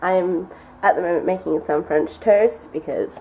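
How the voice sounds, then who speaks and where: Light background noise runs throughout. Over it, a woman talks. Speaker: vlogger. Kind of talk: casual vlog chat. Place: kitchen. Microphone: phone near.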